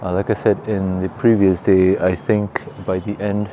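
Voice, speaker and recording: A man's fairly low voice at a fairly slow pace over noticeable background noise. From Singapore. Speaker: podcast host. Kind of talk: interview with guided practice.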